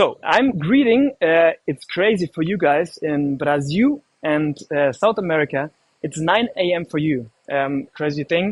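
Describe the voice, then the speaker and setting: With a German accent, the speaker talks at a fairly slow pace using lively intonation. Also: man, fairly high pitch for a man. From Germany. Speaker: live stream host. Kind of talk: live stream presenting. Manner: casual, hesitant with fillers.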